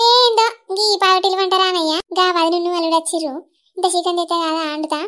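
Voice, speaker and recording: A put-on character voice at a moderate pace with fairly even intonation. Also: woman, extremely high pitch for a woman. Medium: comedy sketch. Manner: blunt, scolding.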